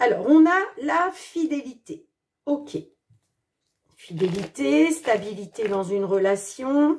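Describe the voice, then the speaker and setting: A woman with a high, animated voice makes very wide pitch swings, leaving long, frequent pauses. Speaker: tarot card reader. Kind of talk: astrology tarot reading.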